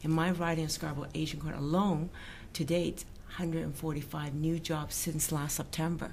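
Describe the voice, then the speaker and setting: The speech comes at a moderate pace in a monotone, flat intonation. Room echo is audible. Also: woman, very deep, low pitch for a woman. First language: not English. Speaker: provincial politician. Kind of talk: political interview. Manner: halting.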